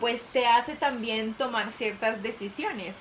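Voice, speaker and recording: Background noise and room echo are both noticeable as a woman speaks at a fairly slow pace. Her pitch is fairly high, with ordinary pitch variation. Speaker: youth personal growth video creator. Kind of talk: casual conversation.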